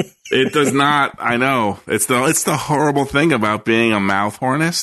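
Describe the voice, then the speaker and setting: A man talks at a fairly slow pace in a normal speaking voice of medium pitch. His pitch varies in an ordinary way and his loudness stays very even. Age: 30s. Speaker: podcast co-host. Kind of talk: casual chat.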